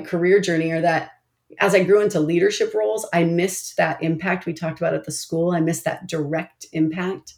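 A woman speaks with a fairly low pitch in a normal speaking voice. Her pace is moderate and her intonation fairly even. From Oregon, US. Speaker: nonprofit CEO. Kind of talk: interview.

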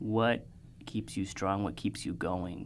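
Speaking very slowly, a man with a very deep, low voice shows vocal fry and lively intonation. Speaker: podcast host. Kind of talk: casual interview conversation.

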